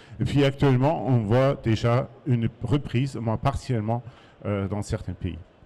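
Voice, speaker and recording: A man with a German accent, medium-pitched, with a dark, mellow tone, normal pitch movement and a fairly slow pace. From Germany. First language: German (speaking French). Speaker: market research consultant. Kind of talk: conference talk. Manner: hesitant, many fillers.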